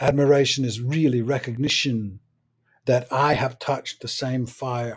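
This man's voice sits at a medium pitch, somewhat breathy, with monotone, flat intonation at a moderate pace. The recording is very clean, with a silent background. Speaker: playwright and essayist. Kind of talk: reflective monologue.

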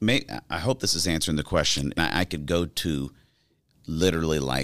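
A man talks at a moderate pace with a very deep, low pitch and ordinary pitch variation. His voice has vocal fry. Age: 40s. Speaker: public speaker and podcast host. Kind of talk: interview.

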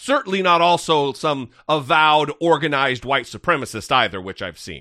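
With vocal fry and a bright, sharp tone, a man of fairly high pitch talks at a moderate pace with lively intonation and hardly any pauses. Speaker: podcast host. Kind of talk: casual political commentary. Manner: animated, halting with repetitions.

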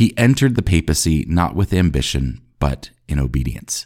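A dark, mellow voice speaks at a moderate pace. The recording is very clean, with a silent background. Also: man. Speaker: podcast host. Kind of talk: eulogy. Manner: solemn, reverent; measured, reflective.

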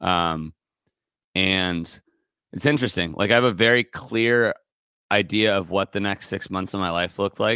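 In an American accent, a man with a fairly low pitch and a bright, sharp tone talks at a moderate pace, his pitch varying in an ordinary way and broken by long, frequent pauses. The sound is dry and close with no echo, on a very clean recording with a silent background. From California, Santa Barbara. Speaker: singer-songwriter and music producer. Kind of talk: casual interview chat.

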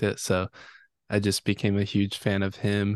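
A man at a fairly slow pace, recorded dry and close with no echo. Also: quiet background. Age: 20s. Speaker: electronic music producer. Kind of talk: interview.

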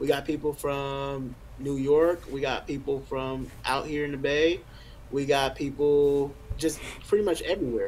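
The man's fairly high voice moves at a fairly slow speed with fairly even intonation, and background noise is noticeable. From Richmond, California (Bay Area). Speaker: rapper. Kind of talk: casual interview.

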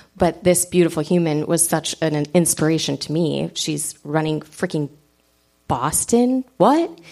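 A woman at a fairly low pitch, with a slight Upper Peninsula accent. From Michigan Upper Peninsula. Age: 40s. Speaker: runner, podcast guest. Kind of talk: live podcast conversation. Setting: stage with audience.

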